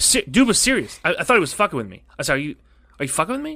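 Very fast and with very wide pitch swings, a man with a high pitch and a bright, sharp tone speaks in a raised, projected voice on a very clean recording with a silent background. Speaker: podcast host. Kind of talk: casual chat. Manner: animated.

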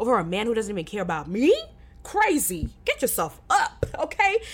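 Talking at a fairly quick pace, a woman with a fairly high pitch sounds animated, her pitch swinging very widely. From Kenya. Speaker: podcast host. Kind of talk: casual solo Q&A chat.

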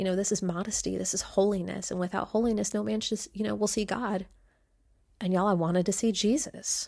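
Speaking very fast at a medium pitch, a woman with a dark, mellow tone and vocal fry keeps her intonation fairly even in a very clean recording with a silent background. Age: 30s. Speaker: podcast host. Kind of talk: personal storytelling monologue.

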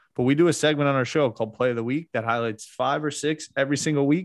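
A man speaks in an ordinary speaking voice at a fairly quick pace, his pitch fairly high, against a quiet background. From New Jersey, Montclair. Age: 30s. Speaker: media company general manager. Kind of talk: casual chat.

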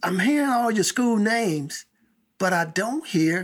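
A man with an American accent speaks at a very slow pace in an extremely high pitch. His pitch swings very widely. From Chicago. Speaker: podcast host. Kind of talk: casual interview chat.

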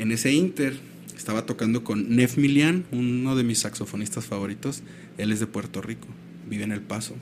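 Moderately paced male speech at a medium pitch, its pitch variation ordinary. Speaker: musician. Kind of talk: casual chat. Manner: animated.

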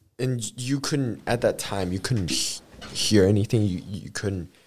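A man speaks at a fairly slow pace. His voice is fairly low and somewhat breathy. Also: long, frequent pauses. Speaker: podcast host. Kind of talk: casual interview. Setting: studio.

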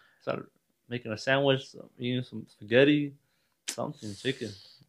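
Here a man talks in a normal speaking voice at a medium pitch. His pace is fairly quick. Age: 20s. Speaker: guest, host's cousin. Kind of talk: casual chat.

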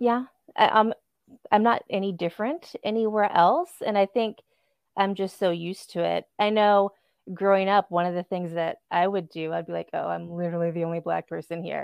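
A woman's ordinary speaking voice with an American accent, medium pitch and a moderate pace. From San Diego, California. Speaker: podcast guest and listener. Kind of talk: casual interview chat.

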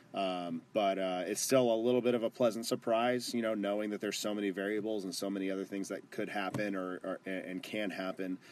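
Against a quiet background, a man with an ordinary speaking voice and an American accent talks at a fairly quick pace and fairly low pitch, with fairly even intonation and hardly any pauses. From Texas (Garland) and Phoenix, Arizona. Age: 20s. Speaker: amateur football club owner. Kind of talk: casual chat.

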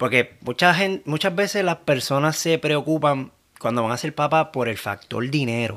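A man speaks in a fairly high pitch at a moderate pace with lively intonation. His is an unremarkable speaking voice. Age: 30s. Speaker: new father. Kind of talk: casual chat.

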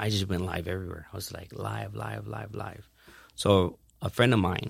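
Very deep and low in pitch, a man's voice carries vocal fry at a moderate pace with ordinary pitch variation. The recording is very clean with a silent background. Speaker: entrepreneur and event promoter. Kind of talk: interview. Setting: studio. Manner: stutters.

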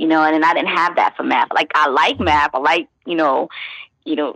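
Speaking with a New York accent, a woman uses a fairly low pitch at a fairly quick pace. The sound is dry and close, with no echo. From Brooklyn, New York (East New York). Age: 30s. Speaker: journalist and massage therapist. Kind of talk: interview. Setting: phone call.

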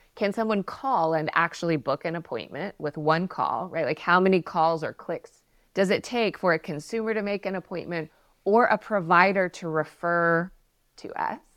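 In a very clean recording with a silent background and a dry, close sound with no echo, a woman with a fairly low pitch speaks at a moderate pace with ordinary pitch variation in a plain, everyday voice. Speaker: healthcare communications consultant. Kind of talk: casual professional discussion.

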